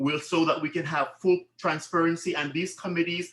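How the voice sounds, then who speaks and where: A man with a high pitch. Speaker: board candidate. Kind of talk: answering questions at a candidates meeting. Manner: fast.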